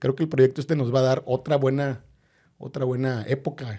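Very clean recording, silent background, and a man's medium-pitched voice, dark, mellow and somewhat breathy, at a moderate pace. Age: 40s. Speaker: football fan and political scientist. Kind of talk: interview. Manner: halting, many repetitions.

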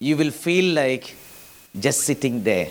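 This man's voice sits at a fairly high pitch. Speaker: pastor. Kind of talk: sermon. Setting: church. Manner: animated, preacherly, urgent; conversational, mixes Malayalam with English phrases.

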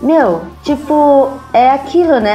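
Noticeable background noise and audible room echo fill the recording. A woman speaks at a very slow pace with ordinary pitch variation. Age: 30s. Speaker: rock band musician. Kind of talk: casual chat.

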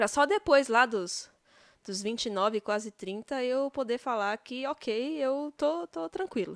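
A woman's high, relaxed voice with lively intonation at a very slow pace, dry and close with no echo on a very clean recording with a silent background. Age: 30s. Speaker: podcaster. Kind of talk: casual monologue. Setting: at home in bed.

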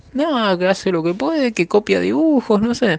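With lively intonation, a man talks at a moderate pace amid noticeable background noise. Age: 30s. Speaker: manga artist. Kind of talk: interview.

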